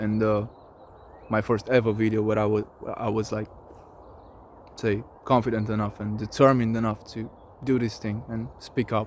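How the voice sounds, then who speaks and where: The speaker has a non-native accent, a monotone, flat intonation, and long, frequent pauses. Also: man. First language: not English. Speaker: vlogger. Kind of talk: casual monologue vlog. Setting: outdoors in nature. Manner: halting.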